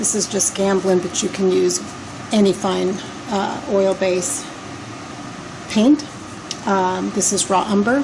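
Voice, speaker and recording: A soft-spoken woman talks at a medium pitch and a very slow pace, with long, frequent pauses. Noticeable background noise runs underneath. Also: ordinary pitch variation. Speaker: decorative painter. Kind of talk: tutorial. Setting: client's basement.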